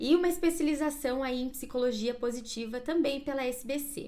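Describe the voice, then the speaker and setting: A woman's voice has lively intonation, with audible room echo. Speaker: career coach. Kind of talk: live stream class. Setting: Instagram live.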